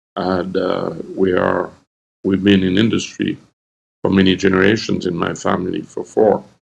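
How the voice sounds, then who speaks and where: This man's voice is very deep and low. He speaks at a moderate pace in a monotone, flat intonation. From Haiti. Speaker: entrepreneur. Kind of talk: interview conversation. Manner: halting.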